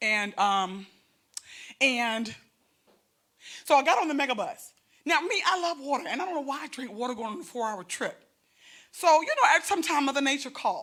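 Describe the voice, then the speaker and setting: A woman with a high pitch speaks in a bright, sharp, animated tone, her pitch swinging very widely. Long, frequent pauses break up her speech on a very clean recording with a silent background. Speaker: comedian. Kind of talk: stand-up. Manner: fast.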